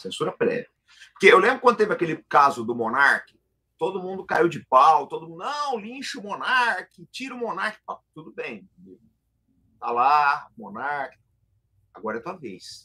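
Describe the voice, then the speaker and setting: A man's high-pitched, bright, sharp voice with very wide pitch swings, big jumps in loudness, moderate pace and long, frequent pauses, against a quiet background. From Brazil. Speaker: military analyst, retired officer; military analyst. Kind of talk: political analysis discussion. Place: home room. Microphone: video call.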